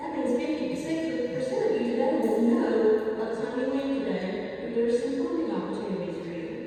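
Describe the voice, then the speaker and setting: The voice has an energetic tone and lively intonation at a fairly quick pace. Music plays in the background. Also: woman, high pitch for a woman. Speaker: workshop presenter and trainer. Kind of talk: live workshop presentation to an audience. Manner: energetic, encouraging.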